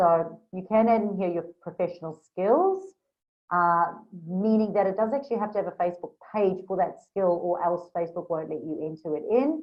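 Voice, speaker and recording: Speaking at a moderate pace, a woman with a slight South African accent uses a medium pitch and ordinary pitch variation. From South Africa, Durban. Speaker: Facebook business coach. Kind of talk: screen-share tutorial. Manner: casual, with frequent fillers.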